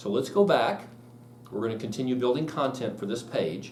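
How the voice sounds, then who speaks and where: A man with lively intonation at a moderate pace, amid noticeable background noise and audible room echo. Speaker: real estate software trainer. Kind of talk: live class tutorial. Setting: classroom with live audience.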